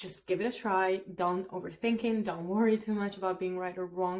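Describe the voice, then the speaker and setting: A woman's medium-pitched voice with an Italian accent. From Italy. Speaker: language teacher. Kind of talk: tutorial. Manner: casual, with frequent fillers.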